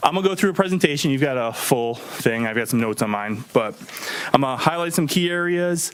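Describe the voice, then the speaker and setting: Over noticeable background noise, a man with a fairly high voice speaks very fast, with lively intonation. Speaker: auditor presenting to town board. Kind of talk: financial report presentation. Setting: township board meeting. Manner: frequent filler ums.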